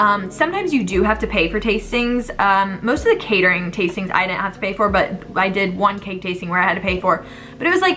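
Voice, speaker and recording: A woman talks at a very fast pace with hardly any pauses. Her pitch is medium, with noticeable background noise behind her. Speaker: vlogger, bride-to-be. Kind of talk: casual vlog monologue. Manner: animated.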